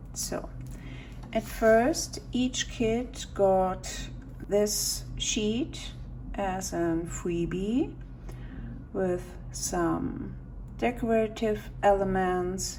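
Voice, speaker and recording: With a non-native accent, a woman speaks at a very slow pace with long, frequent pauses, and audible room echo surrounds her. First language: not English. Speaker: stationery YouTuber. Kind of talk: unboxing video. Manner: halting.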